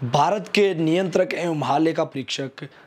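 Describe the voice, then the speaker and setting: There is noticeable background noise. A man talks at a high pitch with ordinary pitch variation. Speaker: YouTube army recruitment news presenter. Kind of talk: informational news commentary. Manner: hesitant fillers, repeats himself.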